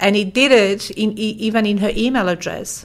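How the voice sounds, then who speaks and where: A woman with a Polish accent, moderate pace and ordinary pitch variation. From Poland. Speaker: language services company founder. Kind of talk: interview. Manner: hesitant with fillers.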